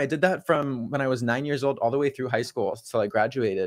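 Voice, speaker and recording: A man's fairly high voice in an American accent, very fast in pace, over a quiet background. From California. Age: 20s. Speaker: music and gaming streamer. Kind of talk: casual interview chat.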